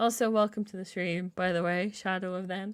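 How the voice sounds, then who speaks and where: A woman's bright, sharp tone comes through a very clean recording with a silent background. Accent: Irish. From Ireland. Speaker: video game streamer. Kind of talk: casual live-stream chat.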